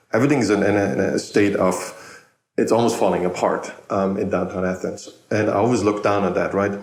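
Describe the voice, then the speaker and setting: The speaker has a German accent and talks at a very fast pace. Intonation stays fairly even, loudness very even, and audible room echo surrounds the voice. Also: man, fairly low pitch for a man. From Germany. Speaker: podcast host. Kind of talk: casual interview chat. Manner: repetitive, halting.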